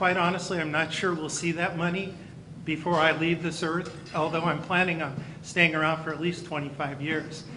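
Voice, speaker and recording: With an American accent and a fairly high pitch, a man speaks at a moderate pace in a monotone, flat way, with audible room echo and noticeable background noise. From California (near Campbell). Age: 60s. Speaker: county school superintendent. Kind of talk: speech to luncheon audience. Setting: banquet luncheon.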